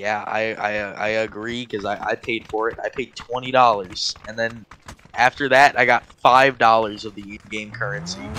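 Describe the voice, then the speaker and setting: At a fairly slow pace, a man with a medium pitch speaks in a fairly even intonation, his loudness swinging widely over noticeable background noise. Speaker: gamer friend. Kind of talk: casual chat.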